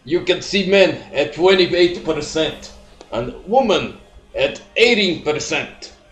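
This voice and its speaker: Over noticeable background noise, a man with a high pitch speaks at a very slow pace. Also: ordinary pitch variation. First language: not English. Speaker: YouTuber doing reaction video. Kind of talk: reaction commentary.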